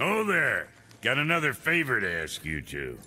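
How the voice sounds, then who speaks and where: Using a gruff, put-on character voice, a man speaks at a moderate pace. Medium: video game. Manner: folksy slang, gruff and brash.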